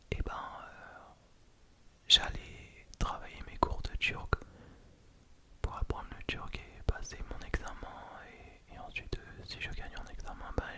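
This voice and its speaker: Whispering at a very slow pace with long, frequent pauses, a man speaks over noticeable background noise. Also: big swings in loudness. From France and Turkey (lives in Turkey). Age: 20s. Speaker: ASMR creator. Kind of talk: ASMR whispered close-mic chat to camera. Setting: home studio with condenser microphone. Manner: soft, close to the mic, hesitant with fillers.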